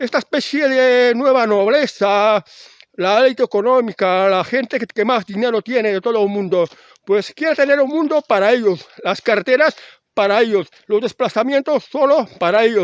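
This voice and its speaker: The voice moves at a moderate pace with ordinary pitch variation in a dry, close sound with no echo. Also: man, extremely high pitch for a man. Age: 60s. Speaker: video blogger. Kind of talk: casual monologue. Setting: outdoors. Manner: halting.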